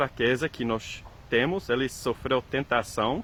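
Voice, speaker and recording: A man with a non-native accent, medium pitch, ordinary pitch variation and a fairly slow pace. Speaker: preacher. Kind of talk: sermon. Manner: halting, many fillers and repetitions.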